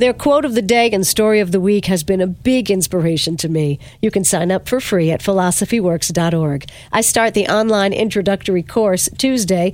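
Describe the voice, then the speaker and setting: The voice has an upbeat tone, ordinary pitch variation, very even loudness, and a moderate pace. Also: woman, medium pitch for a woman. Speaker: radio host. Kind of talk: radio interview.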